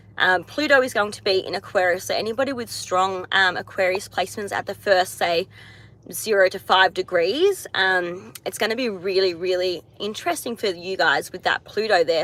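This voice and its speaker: Bright and sharp in tone, the voice carries an Australian accent. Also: woman. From Australia, Tasmania. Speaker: astrologer. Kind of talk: live stream chat. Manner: casual, hesitant with many fillers.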